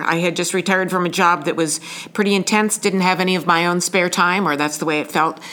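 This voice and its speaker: A woman speaks over noticeable background noise. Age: 60s. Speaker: senior volunteer, retiree. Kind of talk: interview.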